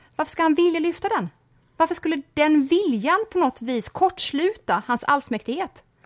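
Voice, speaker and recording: A woman speaks at an extremely high pitch. Her intonation is lively. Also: moderate pace. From rural Sweden. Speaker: podcast co-host. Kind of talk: casual chat. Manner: sighing exhalations at the start.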